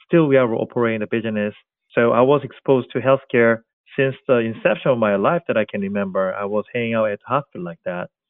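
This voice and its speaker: A man with a Korean accent speaks at a very fast pace. His pitch is medium, with ordinary variation. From South Korea. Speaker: tech company co-founder. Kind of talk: interview.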